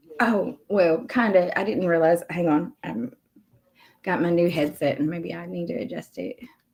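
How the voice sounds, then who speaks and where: A woman's fairly low voice with vocal fry, lively intonation and big swings in loudness. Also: moderate pace. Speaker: YouTube commentary streamer. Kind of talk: casual chat. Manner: quiet.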